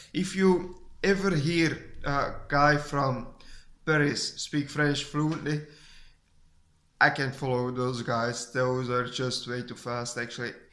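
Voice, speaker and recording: Speaking at a very slow pace with long, frequent pauses, a man has a bright, sharp tone. He talks with a Flemish accent. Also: fairly high pitch for a man, ordinary pitch variation. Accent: Flemish Dutch accent in English. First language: Dutch (Flemish). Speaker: vlogger. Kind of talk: casual vlog talk. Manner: halting, many restarts.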